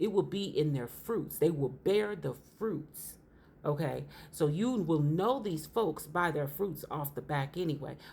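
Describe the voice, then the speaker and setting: A woman speaks slowly in a very deep, low voice with a dark, mellow tone that is somewhat breathy. Her intonation is lively, and audible room echo surrounds her. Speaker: religious teacher. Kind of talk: sermon.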